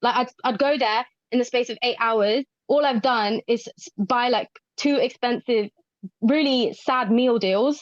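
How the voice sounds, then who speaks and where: A woman speaks with a London accent at a high pitch. The sound is dry and close, with no echo. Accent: London-area English. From southern England, Watford near London. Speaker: mental health pharmacist. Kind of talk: podcast interview. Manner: animated.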